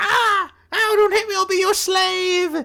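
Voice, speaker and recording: A put-on character voice, squeaky and extremely high in pitch, moves along at a fairly slow pace. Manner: pleading, frightened.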